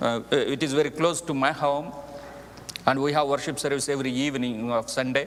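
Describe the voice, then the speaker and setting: Speaking fairly quickly, a man with a fairly high voice keeps his intonation fairly even. Noticeable background noise and audible room echo are present. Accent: Indian. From India, Andhra Pradesh (Telugu speaker). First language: Telugu. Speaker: missionary preacher. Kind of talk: mission report to congregation. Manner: halting, with frequent fillers.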